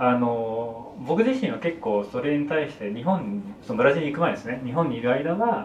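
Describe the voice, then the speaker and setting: Over noticeable background noise and audible room echo, a man with a fairly high pitch talks at a moderate pace with lively intonation. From Kanto, Japan. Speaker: film director. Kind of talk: casual chat.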